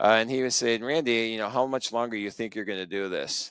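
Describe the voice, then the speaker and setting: The recording is very clean, with a silent background and a dry, close sound with no echo. A man speaks in an unremarkable speaking voice at a medium pitch, with fairly even intonation. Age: 60s. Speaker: accountant, firm co-founder. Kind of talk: interview.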